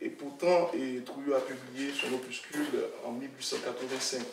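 Noticeable background noise sits behind a man who speaks at a very slow pace. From Haiti. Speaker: author, researcher. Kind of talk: academic discussion. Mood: calm, reflective, hesitant pauses. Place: meeting room. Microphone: podium.

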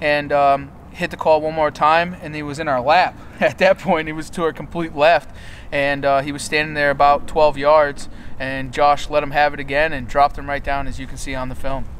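A man is talking. There is light background noise. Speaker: hunting guide. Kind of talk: hunt recap narration. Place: forest.

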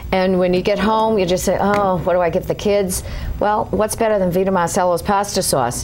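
A woman's fairly quick speech with fairly even intonation and very even loudness, against light background noise. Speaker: guest. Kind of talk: interview answer, product demo. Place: studio. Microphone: lapel.

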